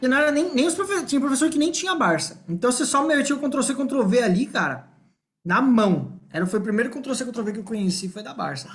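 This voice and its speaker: A man talks at a fairly quick pace in an extremely high voice. His pitch swings very widely and his loudness rises and falls a lot. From Brazil, Ibiúna (São Paulo state). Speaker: podcast co-host. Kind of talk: casual chat.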